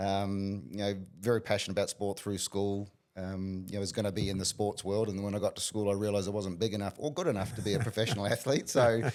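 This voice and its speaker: A man speaks at a very fast pace with a fairly low pitch. His intonation is fairly even. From New Zealand, small town. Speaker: business coach. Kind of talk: interview.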